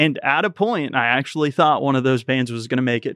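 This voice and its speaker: A man with a Tennessee accent at a very fast pace, the sound dry and close with no echo, against a quiet background. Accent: Southern US (Tennessee). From US South, rural Tennessee. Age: 30s. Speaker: YouTube channel co-founder. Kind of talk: casual interview. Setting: studio.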